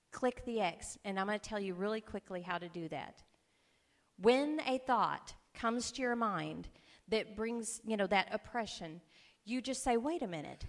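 On a very clean recording with a silent background, a woman with a fairly high pitch and a warm tone talks at a moderate pace with lively intonation. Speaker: preacher. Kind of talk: sermon. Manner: warm, conversational, humorous.

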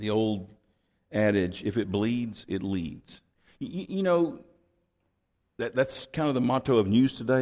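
A man with an American accent speaks at a medium pitch. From Texas. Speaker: pastor. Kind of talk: sermon. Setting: church. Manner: halting.

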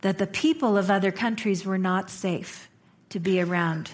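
A woman speaks at a fairly slow pace and a medium pitch, somewhat breathy. The recording is very clean, with a silent background. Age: 50s. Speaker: minister. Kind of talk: sermon. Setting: church.

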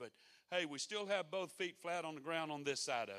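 A man with a slight Mississippi accent talks at a moderate pace. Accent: Mississippi brogue, slight. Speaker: pastor. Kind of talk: sermon. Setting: church.

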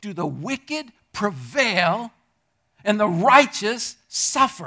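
A man talks in a raised, projected voice with a bright, sharp tone. His pitch swings very widely. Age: 60s. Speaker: pastor. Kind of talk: sermon. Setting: church.

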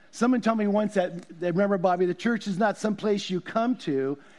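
A man talks very fast at a high pitch, with ordinary pitch variation. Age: 60s. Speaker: pastor. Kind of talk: sermon. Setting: church. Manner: casual.

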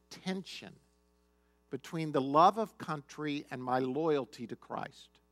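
Music plays in the background as a man with an American accent speaks, the sound dry and close with no echo. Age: 50s. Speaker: pastor. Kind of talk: sermon.

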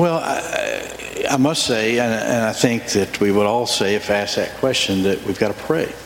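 There is noticeable background noise behind this man. His medium-pitched voice has ordinary pitch variation. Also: moderate pace, hardly any pauses. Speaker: church elder. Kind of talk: testimony. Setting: church.

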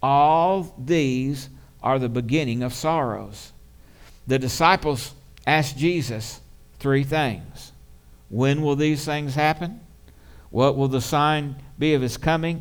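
Speech comes at a very slow pace with long, frequent pauses and ordinary pitch variation. Audible room echo surrounds it. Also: man, fairly high pitch for a man. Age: 60s. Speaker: pastor. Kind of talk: sermon. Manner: animated.

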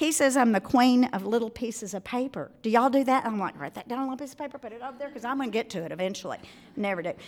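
A woman speaks with a Southern US accent at a high pitch. Her intonation is lively. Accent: Southern US, noticeable. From Arkansas, US South. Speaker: speaker at a women's event. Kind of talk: talk to a live audience. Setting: live event with audience. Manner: warm, cheerful, friendly.

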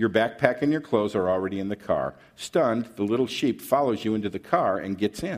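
Plain reading aloud.

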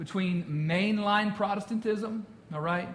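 Someone reads aloud in a natural voice. The pitch moves up and down in an ordinary way.

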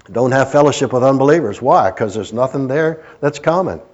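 With an American accent, a man talks at a fairly quick pace in a normal speaking voice, his medium pitch rising and falling in ordinary ways. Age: 60s. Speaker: pastor. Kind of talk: sermon. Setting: church.

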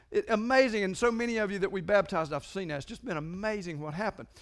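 A man with a raised, projected voice, a bright, sharp tone, lively intonation and a very fast pace, on a very clean recording with a silent background. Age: 50s. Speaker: pastor. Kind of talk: sermon. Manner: animated.

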